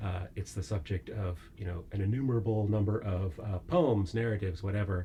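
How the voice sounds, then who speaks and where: A man speaks at a fairly quick clip with hardly any pauses, his dark, mellow, somewhat breathy voice sitting fairly low and carrying an American accent. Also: ordinary pitch variation. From United States. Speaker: philosophy professor. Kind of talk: interview. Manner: hesitant, many fillers.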